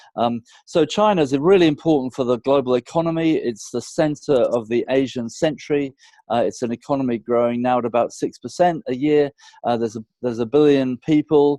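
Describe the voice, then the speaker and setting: At a fairly quick pace, a man with a British accent speaks at a fairly high pitch in a dark, mellow tone, the sound dry and close with no echo. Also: ordinary pitch variation. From UK. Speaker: business consultant. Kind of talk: interview.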